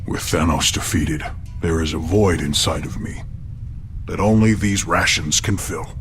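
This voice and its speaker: A put-on character voice at a moderate pace, with clear background noise. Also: man, very deep, low pitch for a man. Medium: machinima. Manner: formal, literal, deadpan.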